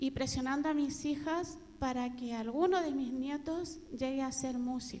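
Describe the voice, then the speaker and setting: A woman with a high pitch and a dark, mellow tone talks at a fairly slow pace with fairly even intonation, in a room with audible echo. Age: 60s. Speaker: audience member. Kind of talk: audience question.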